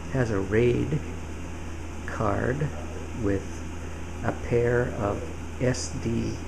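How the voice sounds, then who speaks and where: Speech comes at a very slow pace with long, frequent pauses over noticeable background noise. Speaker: home-office trader, PC builder. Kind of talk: casual talk to camera, tech demo. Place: office.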